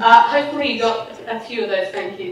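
Amid audible room echo, a woman talks at a fairly quick pace with a fairly high pitch and ordinary pitch variation.

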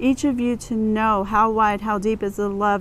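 Fairly even intonation comes through light background noise in a dry sound with no echo. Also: woman. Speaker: prayer leader. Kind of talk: fervent prayer. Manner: earnest, imploring; bold, rhythmic with repeated invocations. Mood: earnest, calm. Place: garden. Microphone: lapel.

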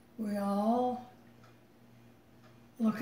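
A woman with a fairly high pitch speaks with fairly even intonation amid audible room echo. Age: 80s+. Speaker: mother and great-great-grandmother. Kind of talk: interview answer. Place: home room. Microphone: phone near.

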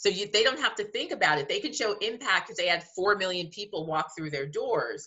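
A woman in an American accent, fairly quick and lively in intonation, with hardly any pauses and a quiet background. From US Northeast, New Jersey. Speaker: museum director. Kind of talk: interview. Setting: video call. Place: home room. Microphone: webcam.

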